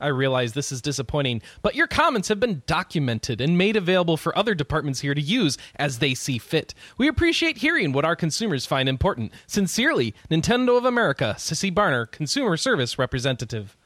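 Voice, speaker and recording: Hardly pausing, a man with a fairly high voice makes very wide pitch swings, recorded with a dry, close sound and no echo. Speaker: podcast host. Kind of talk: casual chat.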